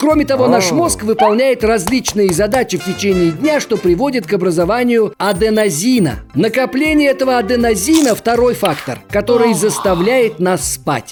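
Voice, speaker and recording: A man's high-pitched voice at a moderate pace, lively in intonation, very even in loudness, with hardly any pauses and music in the background. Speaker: voice actor. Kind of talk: educational cartoon narration for children. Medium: cartoon.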